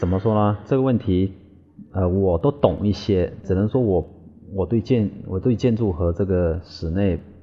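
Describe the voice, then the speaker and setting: A man's fairly low-pitched voice is heard over noticeable background noise. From Quanzhou, Fujian, China. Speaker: landscape designer. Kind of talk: interview. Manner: halting, repetitive.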